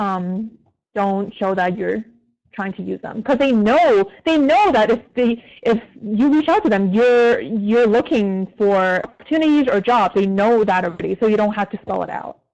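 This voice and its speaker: A woman with a fairly high pitch and lively intonation speaks at a moderate pace in an unremarkable speaking voice. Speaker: community manager at an ad agency. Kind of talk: career advice Q&A talk. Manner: casual, filler-heavy.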